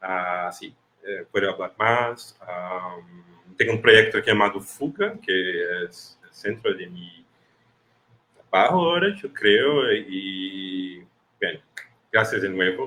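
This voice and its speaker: A man talks at a very slow pace, leaving long, frequent pauses. His loudness swings widely. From Brazil, Recife. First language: Portuguese (speaking Spanish). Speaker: film festival programmer. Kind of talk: online panel discussion. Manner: halting.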